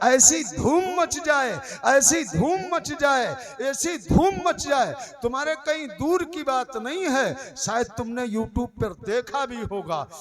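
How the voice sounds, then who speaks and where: A man speaks loudly at an extremely high pitch for a man, with lively intonation. Noticeable background noise runs under his voice. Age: 60s. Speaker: Islamic preacher. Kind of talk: sermon.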